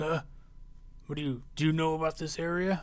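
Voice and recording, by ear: A man puts on a gruff character voice, fairly high in pitch, delivered at a fairly quick pace with monotone, flat intonation.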